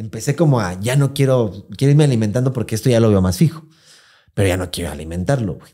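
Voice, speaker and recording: A man with a Mexican accent speaks at a medium pitch. His voice is dark, mellow and somewhat breathy, with very wide pitch swings. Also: quiet background. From Mexico. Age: 30s. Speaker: podcast host. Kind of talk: casual chat. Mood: candid, personal storytelling. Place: studio. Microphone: studio mic.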